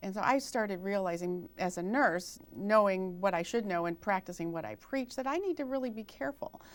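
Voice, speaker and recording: In a very clean recording with a silent background, a woman speaks at medium pitch and a fairly quick pace, using an unremarkable speaking voice with lively intonation. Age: 60s. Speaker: registered nurse and author. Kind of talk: health interview. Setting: TV studio.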